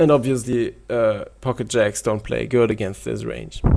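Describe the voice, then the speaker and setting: This man speaks at a moderate pace with a non-native accent. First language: German. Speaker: poker video coach. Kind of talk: tutorial. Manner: halting.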